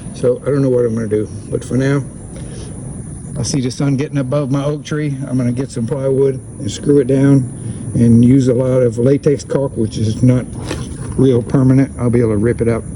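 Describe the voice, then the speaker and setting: At a moderate pace and medium pitch, a man speaks with fairly even intonation against noticeable background noise. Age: 70s. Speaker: builder / DIY video maker. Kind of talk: work narration on a roof. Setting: outdoors on a roof. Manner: casual, thinking aloud.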